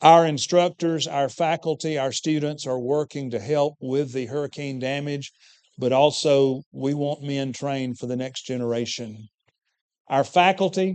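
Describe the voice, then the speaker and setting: A man speaks at a moderate pace in a plain, everyday voice, his fairly high pitch carried on fairly even intonation. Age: 60s. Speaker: preacher and teacher at a preaching school. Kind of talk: church presentation.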